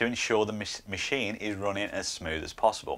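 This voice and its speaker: A man speaks at a fairly quick pace. His pitch is fairly low. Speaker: maker channel host. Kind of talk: tutorial. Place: workshop. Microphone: lapel.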